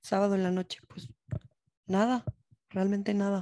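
This woman's voice has a dark, mellow tone. Her pitch sits in the medium range. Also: dry, close sound with no echo. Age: 20s. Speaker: university student ambassador. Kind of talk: casual chat.

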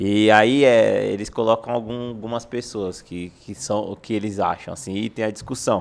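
A man with a fairly low pitch talks at a moderate pace with hardly any pauses and fairly even intonation, in an ordinary speaking voice. His loudness swings in a big way. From São Paulo city, Brazil. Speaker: football freestyle content creator. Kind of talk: casual chat.

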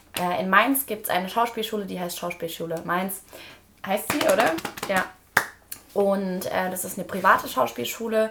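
With lively intonation and big swings in loudness, a woman speaks at a moderate pace and medium pitch amid noticeable background noise. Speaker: podcast host. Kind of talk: casual chat.

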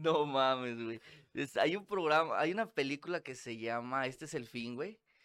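Recorded very cleanly against a silent background, a man with an ordinary speaking voice talks at a fairly high pitch with lively intonation. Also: moderate pace. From Monterrey, northern Mexico. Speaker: podcast guest. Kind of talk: casual chat.

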